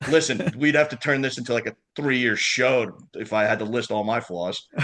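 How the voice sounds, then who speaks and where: A man with a New York accent speaks at a medium pitch and a moderate pace, in an animated tone with ordinary pitch variation. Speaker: lacrosse club liaison. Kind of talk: casual chat. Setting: podcast interview.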